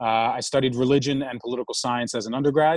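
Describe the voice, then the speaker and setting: A man's medium-pitched voice in a New York accent, fairly quick and monotone with flat intonation, in a dry, close sound with no echo. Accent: New York American. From New York City. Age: 30s. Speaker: startup founder. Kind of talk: interview.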